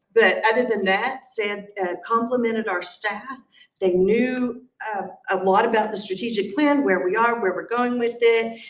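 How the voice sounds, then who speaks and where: Audible room echo surrounds a woman with a fairly high voice. She speaks at a moderate pace with ordinary pitch variation. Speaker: school principal. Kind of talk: meeting report. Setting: school board meeting.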